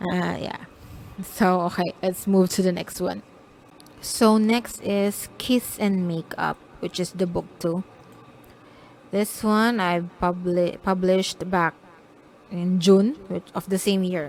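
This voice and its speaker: A woman with a non-native accent speaks at a medium pitch with fairly even intonation. Her pace is very slow, with long, frequent pauses. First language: not English. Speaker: self-published romance author. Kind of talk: casual vlog talk about own books. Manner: halting, self-correcting.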